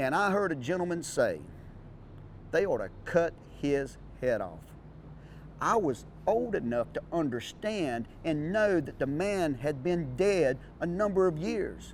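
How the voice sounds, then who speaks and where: In a Southern US accent, a man talks at a fairly slow pace and fairly high pitch, with lively intonation and long, frequent pauses. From North Florida. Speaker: auctioneer. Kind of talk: personal storytelling to camera.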